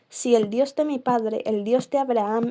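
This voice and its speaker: Soft-spoken and fairly slow, a woman with fairly high pitch speaks in a dark, mellow tone and monotone, flat intonation, on a very clean recording with a silent background. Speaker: ASMR creator. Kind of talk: bible reading.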